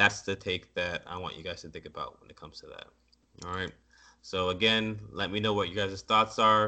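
Big swings in loudness mark a man's fairly low-pitched voice at a moderate pace. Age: 30s. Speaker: podcast host. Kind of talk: casual solo talk on news articles. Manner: animated.

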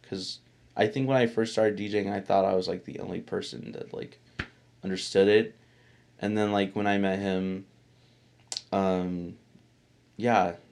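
A man's fairly low voice with fairly even intonation at a moderate pace. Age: 20s. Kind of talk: casual chat. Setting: home recording room. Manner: loud.

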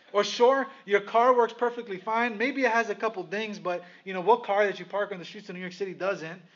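This man's voice is high-pitched, with big swings in loudness. He talks at a fairly quick pace with fairly even intonation. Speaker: pastor. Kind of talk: sermon. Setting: church. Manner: fast.

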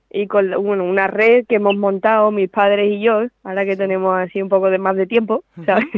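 A woman with an Andalusian accent speaks at a medium pitch. Her pace is fairly quick and her intonation monotone and flat. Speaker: professional golfer. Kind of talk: interview.

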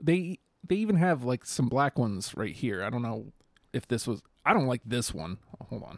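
A man with vocal fry speaks at a medium pitch and a moderate pace, with very wide pitch swings. The recording is very clean and dry, close with no echo, over a silent background. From New York, US. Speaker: podcast co-host. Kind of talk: casual chat.

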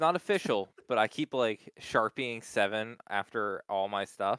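A man speaks with an American accent and a bright, sharp tone. The recording is very clean, with a silent background and a dry, close sound with no echo. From Pennsylvania, US. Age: 20s. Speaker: podcast co-host. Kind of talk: casual chat.

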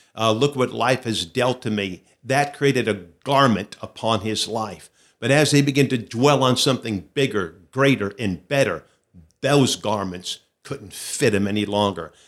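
A man's pitch moves in a normal way across a very clean recording with complete silence behind him. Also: medium pitch for a man, moderate pace. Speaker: pastor and speaker. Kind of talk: interview.

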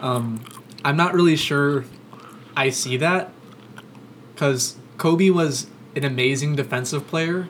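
With an American accent, a man with a fairly high pitch speaks at a fairly slow pace, using ordinary pitch variation and long, frequent pauses over noticeable background noise. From Florida, Orlando. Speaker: sports podcast host. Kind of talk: casual chat. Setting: studio, across the table from co-host.

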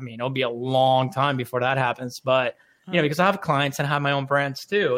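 Speaking at a very fast pace with an American accent, a man uses a fairly high pitch and ordinary pitch variation in a very clean recording with a silent background. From Orlando, Florida, US. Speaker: marketing entrepreneur. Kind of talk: radio interview. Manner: casual, conversational.

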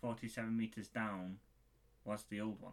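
In a monotone, flat intonation, a man's voice holds a medium pitch. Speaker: podcast co-host. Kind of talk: casual chat.

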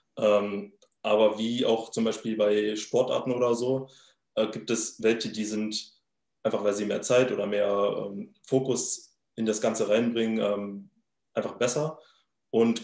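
This man talks at a medium pitch and a moderate pace. His intonation is monotone and flat. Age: 20s. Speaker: crypto trader and startup founder. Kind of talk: interview. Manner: halting, many filler sounds.

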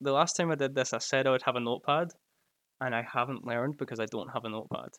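A man with a Glasgow accent at a very fast pace, fairly high in pitch with ordinary pitch variation, in a very clean recording over a silent background. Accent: Scottish, Glasgow. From Scotland. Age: 20s.

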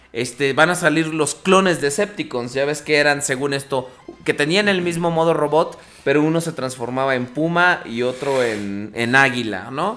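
Fairly high-pitched male speech with lively intonation at a fairly slow pace, music in the background. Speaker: podcast host. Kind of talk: casual chat. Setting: live internet radio broadcast.

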